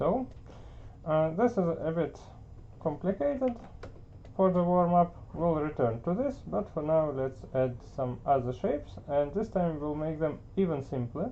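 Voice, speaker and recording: A non-native accent at a fairly slow pace. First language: not English. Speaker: art teacher. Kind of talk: tutorial. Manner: hesitant, many filler words.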